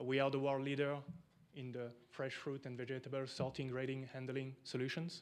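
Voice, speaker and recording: In a French accent, a man talks at a fairly quick pace and medium pitch with monotone, flat intonation, and audible room echo is heard. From France. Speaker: equipment company representative. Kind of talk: conference presentation.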